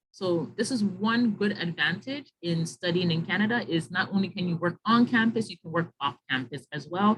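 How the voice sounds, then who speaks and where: The woman has a normal speaking voice at a medium pitch and lively intonation. She keeps a moderate pace with hardly any pauses. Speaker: webinar presenter on graduate school admissions. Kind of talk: online info session with Q&A.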